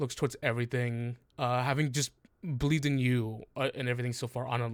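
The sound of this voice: The speaker uses an unforced reading voice. Intonation stays fairly even.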